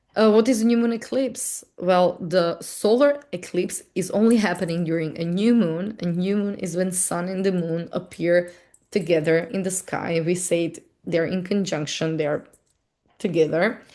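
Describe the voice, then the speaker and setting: A woman speaks in a non-native accent with a dark, mellow tone. Her pitch is medium and her pitch variation ordinary. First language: not English. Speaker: astrology and tarot teacher. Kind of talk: casual correction note; webinar lecture. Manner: halting, slow word finding.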